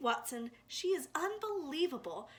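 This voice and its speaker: A woman's put-on character voice, high in pitch, with very wide pitch swings at a moderate pace. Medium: read story. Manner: warm, gushing.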